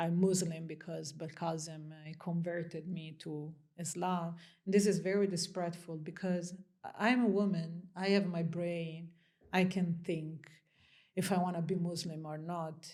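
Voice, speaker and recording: A woman's dark, mellow voice in an Italian accent, fairly low in pitch with monotone, flat intonation at a moderate pace, in audible room echo. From Italy. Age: 30s. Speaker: interview guest. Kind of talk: interview conversation.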